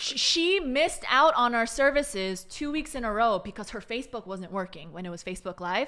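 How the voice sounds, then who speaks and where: A woman at a fairly quick pace with hardly any pauses, very wide pitch swings and big swings in loudness. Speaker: church chief of staff. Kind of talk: casual podcast interview.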